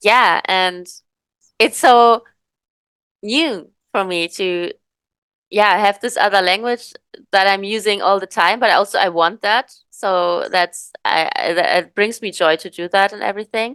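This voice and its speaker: A woman with a German accent speaks at medium pitch and a fairly slow pace, with long, frequent pauses and ordinary pitch variation. Her loudness swings widely, and the sound is dry and close with no echo. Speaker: podcast host. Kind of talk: casual chat. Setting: video call. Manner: halting.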